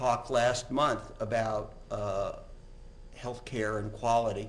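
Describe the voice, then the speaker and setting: A man speaks, his intonation fairly even throughout. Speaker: physician giving a lecture. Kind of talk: lecture. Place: hall.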